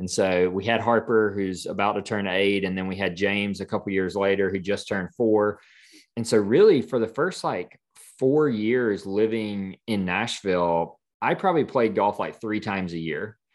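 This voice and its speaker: Over a quiet background, a man with a fairly low voice talks at a moderate pace with ordinary pitch variation. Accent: Southern US. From US South, South Carolina. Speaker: design studio founder. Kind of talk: interview.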